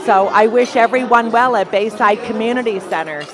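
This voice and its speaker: Clear music plays in the background, and the sound is dry with no echo. The voice shows ordinary pitch variation. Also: woman. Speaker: guest. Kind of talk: interview answer. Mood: warm, pleased. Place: hall. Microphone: handheld.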